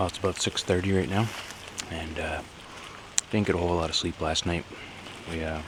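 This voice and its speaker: A man with a very deep, low pitch talks over noticeable background noise. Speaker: backpacking vlogger. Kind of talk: casual vlog narration. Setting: outdoors. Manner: quiet.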